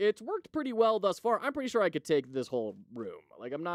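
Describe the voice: The clip is plain reading aloud.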